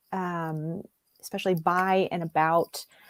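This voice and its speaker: A woman with an Appalachian accent is heard in a dry, close sound with no echo. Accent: Southern US (Appalachian). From US South, East Tennessee (Appalachia). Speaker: book editor and novelist. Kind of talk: casual interview chat.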